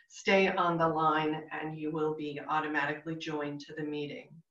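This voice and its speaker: The speech moves at a fairly slow pace against a quiet background with audible room echo. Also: woman. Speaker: pastor leading online worship. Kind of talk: worship announcements. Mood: calm, warm, measured. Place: home room. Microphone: video call.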